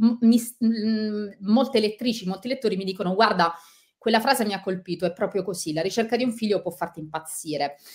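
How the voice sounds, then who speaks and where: Somewhat breathy, a woman talks at a fairly quick pace with ordinary pitch variation. The background is quiet. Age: 40s. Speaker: author and journalist; journalist. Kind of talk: interview; interview answer. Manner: halting. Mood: sincere, personal, reflective. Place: home room.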